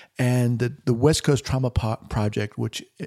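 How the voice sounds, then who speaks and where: A man's voice carries a dark, mellow tone with ordinary pitch variation. The recording is very clean, with a silent background and a dry, close sound with no echo. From New York. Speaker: psychologist and podcast host. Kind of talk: interview.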